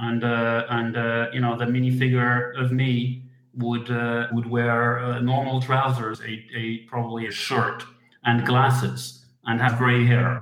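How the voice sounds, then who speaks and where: Monotone and flat, a man talks at a very slow pace. He has a Dutch accent and a medium pitch. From Netherlands. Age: 40s. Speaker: hobbyist model designer. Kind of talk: interview. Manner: halting.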